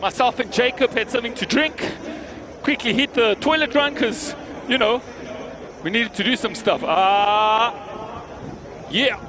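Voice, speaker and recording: Over noticeable background noise, a man with an extremely high pitch speaks in a raised, projected voice and an animated tone, at a moderate pace with ordinary pitch variation and long, frequent pauses. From South Africa, Johannesburg. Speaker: event commentator. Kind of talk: live event commentary. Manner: loud.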